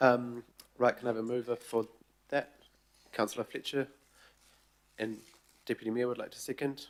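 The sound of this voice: A man speaks at a moderate pace with a croaky, medium-pitched voice. His pitch shows little movement.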